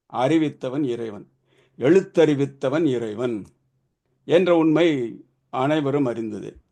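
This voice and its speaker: Pitch variation stays ordinary. A dark, mellow tone colors the voice. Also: man, fairly high pitch for a man. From Tamil Nadu, Madurai. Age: 70s. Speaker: swami, ashram founder. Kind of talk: devotional speech. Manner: formal.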